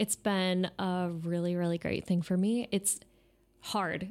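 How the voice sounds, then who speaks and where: A woman with an American accent speaks at a fairly slow pace. Her pitch is medium, on a very clean recording with a silent background. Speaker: undergraduate researcher. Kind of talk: interview.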